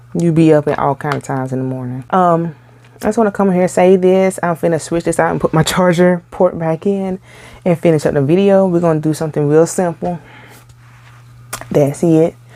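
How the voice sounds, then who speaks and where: Soft-spoken woman's voice, fairly low in pitch with ordinary pitch variation, at a fairly quick pace. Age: 30s. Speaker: amateur makeup vlogger. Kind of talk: makeup tutorial. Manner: soft-spoken, talking low; casual, chatty.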